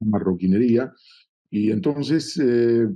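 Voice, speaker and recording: A man's dark, mellow voice with a Hebrew accent, at a very slow pace. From Argentina, Buenos Aires. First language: Hebrew (speaking Spanish). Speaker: political journalist. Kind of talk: interview. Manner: halting, many fillers.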